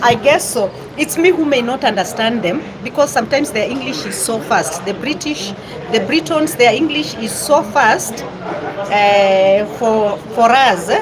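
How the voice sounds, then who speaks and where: A woman's fairly high voice with a Kenyan accent and lively intonation at a fairly slow pace, with audible room echo and noticeable background noise. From western Kenya. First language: Luyia. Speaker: vlogger. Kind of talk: casual live-stream chat. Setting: restaurant in Nairobi town centre. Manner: halting.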